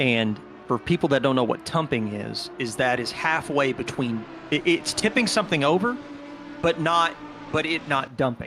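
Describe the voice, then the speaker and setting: Music plays in the background as a man talks with lively intonation. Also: fairly high pitch for a man, moderate pace. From US South. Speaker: sim racing commentator. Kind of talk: live commentary.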